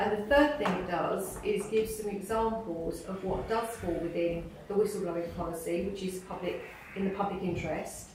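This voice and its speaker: With an English accent, a woman speaks at medium pitch and moderate pace with ordinary pitch variation, amid noticeable background noise and audible room echo. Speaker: hospital executive. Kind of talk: board meeting presentation. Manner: loud.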